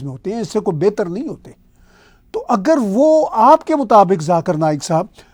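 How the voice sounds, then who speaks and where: This man has a high voice with very wide pitch swings. The recording is very clean, with a silent background. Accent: Punjabi. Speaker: political commentator. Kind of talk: video commentary monologue.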